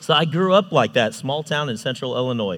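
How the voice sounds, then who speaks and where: With lively intonation, a normal speaking voice comes through on a very clean recording with a silent background. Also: man. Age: 30s. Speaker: youth ministry volunteer and construction manager. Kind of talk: sermon.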